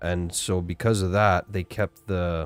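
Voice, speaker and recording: In a very clean recording with a silent background and a dry, close sound with no echo, a man with a western Canadian accent speaks at a very deep, low pitch with ordinary variation. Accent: typical western Canadian. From western Canada, Alberta. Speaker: gaming streamer. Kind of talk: live gameplay stream chat. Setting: live stream.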